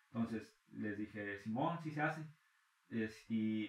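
Noticeable background noise sits behind the voice. A man speaks with a Mexican accent and ordinary pitch variation. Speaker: freestyle rapper. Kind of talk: casual chat.

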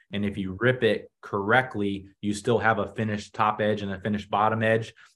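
With an American accent, a man talks at a moderate pace in a fairly low pitch. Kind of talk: tutorial. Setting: video call.

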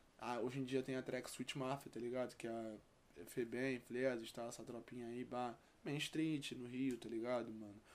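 Speaking with a flat, monotone delivery, the man keeps his voice at a medium pitch. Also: moderate pace. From Rio de Janeiro, West Zone (Campo Grande). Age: 20s. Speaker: rapper. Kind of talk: casual chat.

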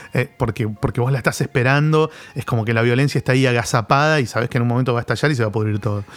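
Fairly even in intonation, a man with a medium pitch talks at a very fast pace. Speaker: comics expert. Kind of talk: casual chat. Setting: studio. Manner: halting.

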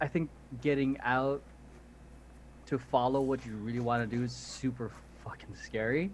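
At a moderate pace and medium pitch, a man speaks in an animated tone, with long, frequent pauses. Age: 20s. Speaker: podcast host and dance instructor. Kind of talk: casual chat.

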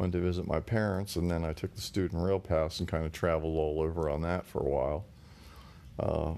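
A man with a very deep, low pitch speaks in a dark, mellow tone with fairly even intonation. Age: 60s. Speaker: guest, host's father. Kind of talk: casual interview. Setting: living room.

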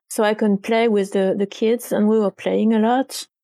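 Dark and mellow in tone, the voice carries a French accent, a moderate pace and fairly even intonation. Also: woman. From France, Paris suburbs. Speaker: games journalist and author. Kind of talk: interview. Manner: halting.

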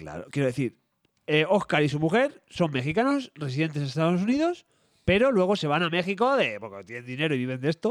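In a Madrid accent, a man talks in an animated tone at a fairly high pitch, with very wide pitch swings. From Madrid, Spain. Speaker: podcast co-host. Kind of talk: casual chat.

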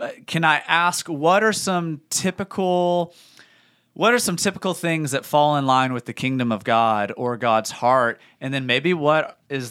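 A man speaks in a plain, everyday voice at a moderate pace with lively intonation. The recording is very clean with a silent background. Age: 30s. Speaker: church podcast host. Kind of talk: casual chat.

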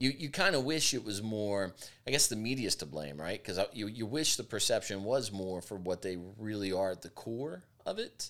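This man has an ordinary speaking voice with fairly low pitch. He talks at a moderate pace with lively intonation. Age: 40s. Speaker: podcast host. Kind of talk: casual chat.

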